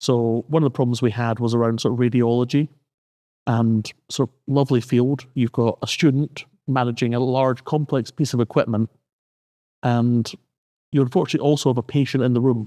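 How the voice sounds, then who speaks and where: With a Scottish accent, a man talks at a fairly quick pace in a dark, mellow tone at medium pitch, his intonation fairly even and his loudness very even. He leaves long, frequent pauses, and the sound is dry and close with no echo. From Scotland. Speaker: university lecturer. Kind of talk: podcast conversation.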